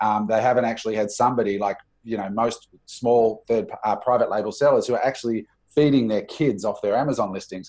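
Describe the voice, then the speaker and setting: A man with an Australian accent speaks at a fairly quick pace in a dark, mellow tone. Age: 40s. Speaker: entrepreneur and business coach. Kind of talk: interview.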